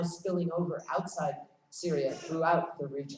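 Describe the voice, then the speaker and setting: A woman speaks in a fairly low voice. Noticeable background noise and audible room echo surround her. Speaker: conference speaker on foreign policy. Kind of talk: conference talk. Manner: fast.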